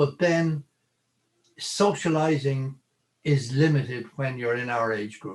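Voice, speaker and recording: A man speaks in a somewhat breathy voice. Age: 80s+. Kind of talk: interview. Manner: halting.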